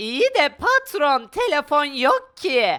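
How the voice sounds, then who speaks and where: A put-on character voice sits high in pitch. It goes along at a very slow pace. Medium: machinima. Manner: meows now and then.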